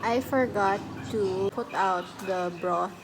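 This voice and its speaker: A woman's voice, pitched in the middle of her range, is heard with clear background noise behind it. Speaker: vlogger. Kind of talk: casual vlog talk.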